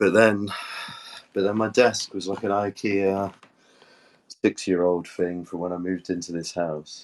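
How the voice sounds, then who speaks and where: A man with a British accent talks at a moderate pace. His pitch is very deep and low. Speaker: NFT community co-host. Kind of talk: casual chat.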